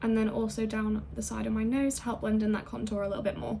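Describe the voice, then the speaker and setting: A woman talking at a very fast pace over noticeable background noise. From England. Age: 20s. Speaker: beauty and ASMR YouTuber. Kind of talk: get ready with me makeup tutorial; casual talk to camera.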